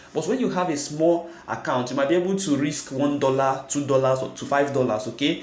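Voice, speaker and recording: Noticeable background noise and audible room echo accompany a man talking at a fairly quick pace, with a fairly high pitch and ordinary pitch variation. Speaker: forex trading youtuber. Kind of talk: tutorial.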